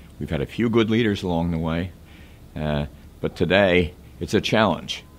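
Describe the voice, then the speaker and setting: This man has a very deep voice. His pitch sits very low. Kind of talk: interview answer. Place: office.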